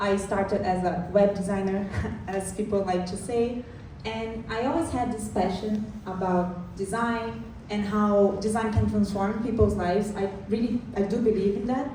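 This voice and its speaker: Through audible room echo and noticeable background noise, a woman of medium pitch talks at a moderate pace with fairly even intonation. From Brazil. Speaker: product designer. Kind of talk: conference talk.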